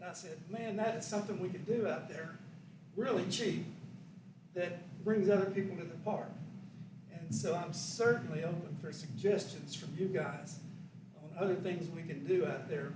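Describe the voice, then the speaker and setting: A man with a high pitch speaks with long, frequent pauses. Audible room echo and noticeable background noise fill the recording. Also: ordinary pitch variation, moderate pace. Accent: Arkansas. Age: 70s. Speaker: park design consultant presenting to council. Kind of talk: public presentation at council meeting. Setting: city council meeting. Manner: conversational, informal.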